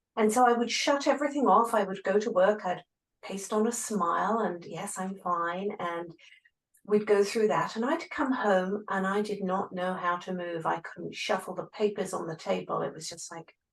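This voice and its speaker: A woman with an English accent speaks at a moderate pace and medium pitch, her pitch varying in an ordinary way while her loudness swings widely. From England. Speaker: grief coach, former physical therapist. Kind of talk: interview.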